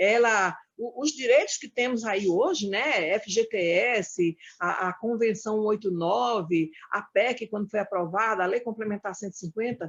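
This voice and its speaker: The woman speaks fairly slowly in a fairly high voice, her pitch varying in an ordinary way. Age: 60s. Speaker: domestic workers' union leader. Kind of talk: panel debate talk. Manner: halting, with frequent fillers.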